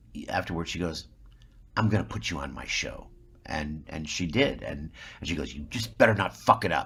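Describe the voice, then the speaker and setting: A man with an American accent talks at a very deep, low pitch with vocal fry and a bright, sharp tone. His intonation is lively and his loudness swings widely. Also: moderate pace. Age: 60s. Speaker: actor. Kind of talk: interview. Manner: halting, repeats words.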